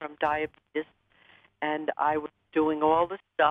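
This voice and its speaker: A woman speaks at a fairly slow pace. Her pitch is very deep and low. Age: 70s. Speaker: caller. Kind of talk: call-in question. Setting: phone call.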